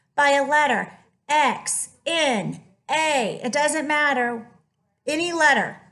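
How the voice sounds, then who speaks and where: Speaking at a very slow pace, a woman uses ordinary pitch variation amid audible room echo. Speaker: math teacher. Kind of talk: lecture. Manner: animated.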